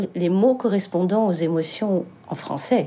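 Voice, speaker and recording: This woman speaks with a North African accent and a dark, mellow tone. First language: Berber (speaking French). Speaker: singer. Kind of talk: interview testimony.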